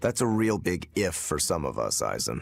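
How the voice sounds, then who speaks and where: A man's put-on character voice, raspy and fairly low in pitch, at a moderate pace. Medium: video game.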